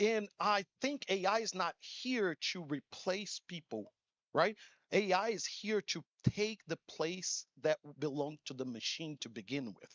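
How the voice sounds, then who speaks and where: With a Portuguese accent, a man speaks at a high pitch with lively intonation. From Brazil. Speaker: conference speaker. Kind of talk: keynote talk. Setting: stage with audience. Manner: animated.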